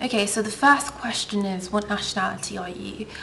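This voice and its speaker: Audible room echo and noticeable background noise come through on this recording. A woman speaks at a moderate pace with fairly even intonation. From England (from age eight; born Russian, lived in Ukraine). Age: 20s. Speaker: beauty vlogger. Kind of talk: casual Q&A vlog. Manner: chatty, many filler ums.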